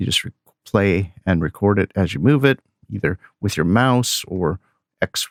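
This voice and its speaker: Lively intonation stands out. The sound is dry and close with no echo, on a very clean recording with a silent background. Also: man. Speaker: music software reviewer. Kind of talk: tutorial. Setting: screen recording. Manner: loud.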